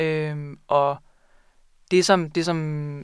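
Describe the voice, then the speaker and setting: A woman with a very deep, low voice and fairly even intonation speaks on a very clean recording with a silent background. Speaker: librarian and book buyer. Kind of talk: casual interview about books. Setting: studio.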